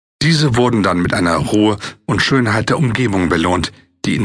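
Here is a man with a normal speaking voice and a fairly low pitch. His intonation is lively. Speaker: audiobook narrator. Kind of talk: audiobook narration, dramatic and atmospheric reading of a fiction text.

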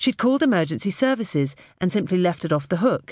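In a British accent, a woman speaks at medium pitch with very wide pitch swings and an animated, calm tone, over a quiet background. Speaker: audiobook narrator. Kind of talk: dramatic audiobook narration, first-person thriller scene. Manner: tense, hushed suspense with a calm, soft menacing voice for the robber; animated, shifts between narrator and character voices.

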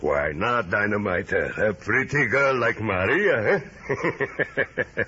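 Using a put-on character voice, a man speaks slowly at a fairly low pitch with a bright, sharp tone. His intonation is lively, with faint background noise.

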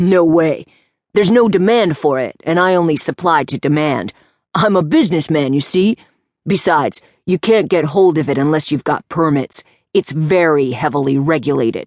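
A woman's put-on character voice, very deep and low, at a moderate pace, with a dry, close sound, no echo and a quiet background. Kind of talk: audiobook character voice. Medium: read story. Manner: shifty, sulky, chatty, with a "you see" habit.

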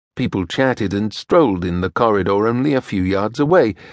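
A man talks at a moderate pace against a quiet background. The sound is dry and close, with no echo. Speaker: audiobook narrator. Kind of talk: dramatic audiobook narration of a historical romance. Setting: studio.

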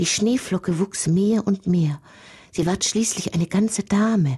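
The voice has a gentle, dark, mellow tone. It sounds somewhat breathy. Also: woman. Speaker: audiobook narrator. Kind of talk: audiobook fairy-tale narration, read aloud with dramatic storytelling. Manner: gentle, wondering, storyteller's rhythm.

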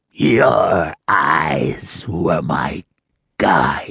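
A man puts on a shaky, raspy character voice. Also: very deep, low pitch for a man. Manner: quavering, accusing.

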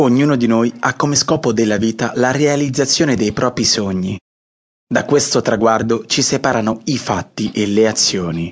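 He has an ordinary speaking voice, a medium pitch, ordinary pitch variation and a moderate pace. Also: very even loudness. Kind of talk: audiobook intro, motivational coaching address. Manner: warm, reassuring, direct address to listener.

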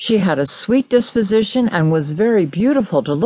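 A natural reading voice, lively in its intonation

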